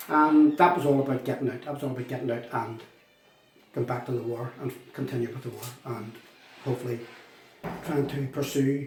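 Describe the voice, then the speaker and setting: A man with a Northern Irish accent at a medium pitch and fairly quick pace, fairly even in intonation, with long, frequent pauses and big swings in loudness. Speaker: former republican prisoner. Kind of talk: testimony.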